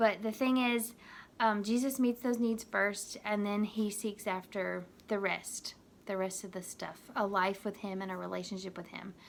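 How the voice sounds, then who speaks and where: A woman's ordinary speaking voice, medium in pitch, at a moderate pace with fairly even intonation. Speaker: youth minister. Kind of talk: video devotional talk to youth.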